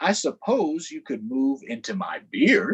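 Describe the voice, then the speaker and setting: A put-on character voice sits at a middle pitch but swings very widely, delivered at a fairly slow pace. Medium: read story.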